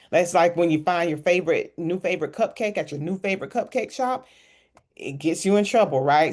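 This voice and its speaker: A woman speaks with an animated tone and lively intonation. The background is quiet. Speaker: financial coach. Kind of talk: online workshop.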